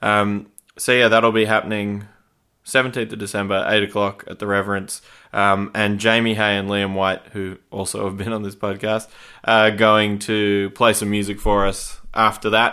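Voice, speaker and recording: This man talks in an Australian accent at a moderate pace. His fairly low voice stays monotone and flat. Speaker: podcast host. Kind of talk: casual interview chat. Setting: recorded at guest's house.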